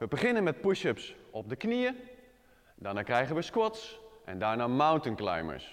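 A man at a fairly slow pace against a quiet background. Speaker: fitness trainer. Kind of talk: tutorial. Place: gym. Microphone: lapel.

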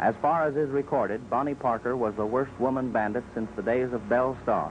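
A man with a normal speaking voice talks fairly quickly at a medium pitch, with fairly even intonation and very even loudness. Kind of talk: newsreel narration.

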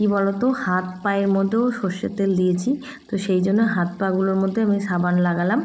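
A woman speaks at a medium pitch. Audible room echo can be heard in the room. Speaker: lifestyle vlogger. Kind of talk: vlog narration. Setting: outdoors at a tap.

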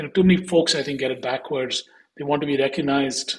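A man with an Indian accent talks at a very fast pace. His pitch is fairly high, with ordinary pitch variation. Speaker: investment firm executive. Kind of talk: interview.

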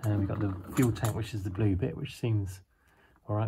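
Against light background noise, a man speaks in a dark, mellow, somewhat breathy tone at a fairly low pitch, with fairly even intonation. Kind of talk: casual walkthrough commentary. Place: garage. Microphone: phone near.

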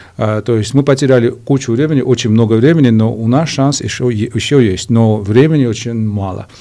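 With a Georgian accent and a dark, mellow tone, a man talks at a moderate pace with hardly any pauses and fairly even intonation over a quiet background. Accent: Georgian accent in Russian. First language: Georgian (speaking Russian). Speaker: political analyst; interview guest. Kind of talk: TV interview; interview answer. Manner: halting, many fillers. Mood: serious political discussion. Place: studio. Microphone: studio mic.

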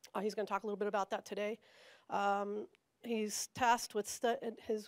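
Over a quiet background, a woman talks at a fairly quick pace in a fairly high voice with monotone, flat intonation. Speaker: seminar moderator. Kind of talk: speaker introduction. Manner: halting. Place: meeting room. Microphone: handheld.

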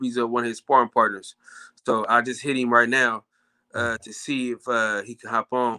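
Against a quiet background, a man talks at a moderate pace. His medium-pitched voice has a bright, sharp tone. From US South. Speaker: caller. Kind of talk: casual chat. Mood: relaxed, joking. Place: home room.

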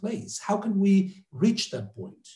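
A man speaks at a high pitch. Audible room echo surrounds his voice. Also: quiet background. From Mexico. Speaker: professor and interviewer; professor, interviewer. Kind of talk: interview. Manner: halting. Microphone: earbuds.

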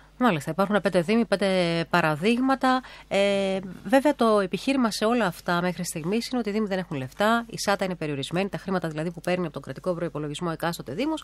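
Lively in intonation, a woman speaks at a very fast pace in a dry sound with no echo. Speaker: radio host. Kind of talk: radio interview. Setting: radio studio. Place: hall. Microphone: podium.

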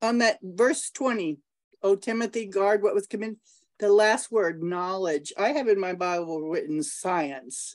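A woman has a plain, everyday voice at a medium pitch, with lively intonation. She speaks at a fairly slow pace against a quiet background. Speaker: student. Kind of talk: prayer. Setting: video call. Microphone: video call.

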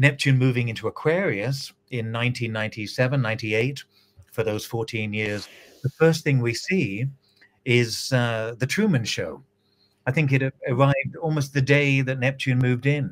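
A man's fairly slow speech with ordinary pitch variation. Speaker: guest. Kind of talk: interview answer. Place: home room.

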